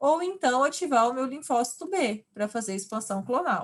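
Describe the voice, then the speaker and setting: An unremarkable speaking voice from a woman, with lively intonation at a moderate pace. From Brazil, countryside. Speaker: university lecturer. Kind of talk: online lecture.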